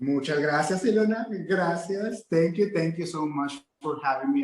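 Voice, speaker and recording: A man with a Mexican accent, at a moderate pace, with ordinary pitch variation. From Mexico-US border, Nuevo Laredo / Laredo, Texas. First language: Spanish. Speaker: real estate agent and motivational speaker. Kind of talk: interview.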